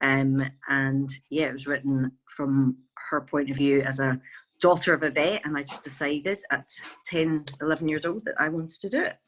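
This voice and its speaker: With a Glaswegian accent, this woman talks at a moderate pace in a very deep, low voice, her intonation fairly even. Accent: Glaswegian Scottish. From Scotland, Glasgow. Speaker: veterinarian, charity co-founder. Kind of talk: interview.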